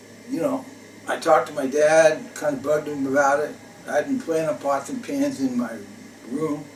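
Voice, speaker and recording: Against noticeable background noise, a man with a fairly high voice and an American accent speaks at a moderate pace with lively intonation. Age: 60s. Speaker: retired jazz drummer. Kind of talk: personal storytelling monologue. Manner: hesitant, many fillers.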